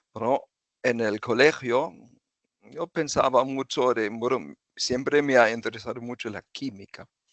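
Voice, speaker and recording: This man has a German accent. His pitch is medium. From southern Germany (Freiburg). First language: German (speaking Spanish). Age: 60s. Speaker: retired chemical engineer. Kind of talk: interview. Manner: halting.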